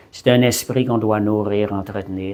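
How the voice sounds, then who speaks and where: Fairly slow delivery with fairly even intonation. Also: man. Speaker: preacher. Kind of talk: sermon. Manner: halting, repeats words.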